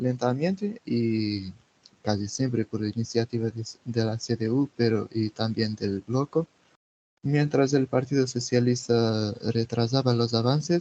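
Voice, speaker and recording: In a Portuguese accent, a man speaks with a dark, mellow tone and ordinary pitch variation, the sound dry and close with no echo. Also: medium pitch for a man, fairly slow pace. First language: Portuguese (speaking Spanish). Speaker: political activist. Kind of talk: interview. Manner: halting.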